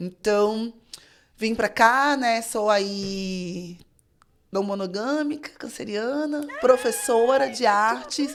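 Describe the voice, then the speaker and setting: In a very clean recording with a silent background, a woman with a fairly high pitch speaks with lively intonation. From Rio de Janeiro, Brazil. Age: 30s. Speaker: fashion designer and teacher. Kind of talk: casual interview chat.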